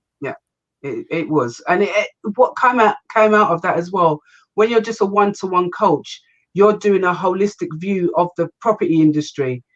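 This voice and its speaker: Lively intonation at a moderate pace, with an English accent. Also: woman, medium pitch for a woman. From England, Kent. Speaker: business and property investment coach. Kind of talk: interview.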